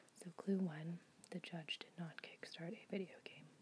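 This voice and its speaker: Soft-spoken and somewhat breathy, a woman talks in a calm tone at a fairly low pitch with fairly even intonation. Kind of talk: ASMR soft-spoken puzzle solving, casual talk to camera. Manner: soft-spoken, calm, relaxing.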